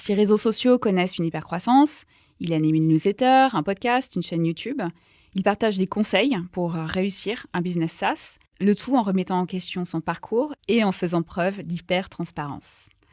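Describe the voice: Slightly mellow tone, moderate pace and ordinary pitch variation. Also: woman, medium pitch for a woman.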